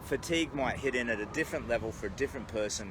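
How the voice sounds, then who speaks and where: An Australian-accented man. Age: 50s. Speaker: charity walker and vlogger. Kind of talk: casual livestream monologue. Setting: outdoors. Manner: halting, with many fillers.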